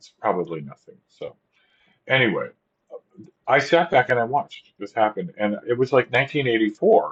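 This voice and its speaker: A man with a medium pitch and vocal fry speaks at a moderate pace, with long, frequent pauses. His intonation is lively and his loudness swings widely. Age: old. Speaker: vlogger. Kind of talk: casual monologue. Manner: halting.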